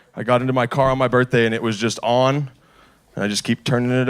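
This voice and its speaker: A man amid noticeable background noise. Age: 20s. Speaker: stand-up comedian. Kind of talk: stand-up.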